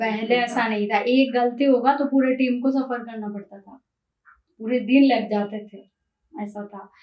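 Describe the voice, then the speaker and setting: The delivery shows big swings in loudness alongside fairly even intonation. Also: woman, high pitch for a woman. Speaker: singer. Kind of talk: interview answer.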